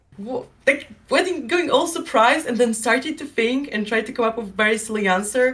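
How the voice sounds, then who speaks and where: Against noticeable background noise, a woman with a fairly high pitch and ordinary pitch variation speaks at a fairly quick pace. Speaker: streamer and artist. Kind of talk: podcast interview.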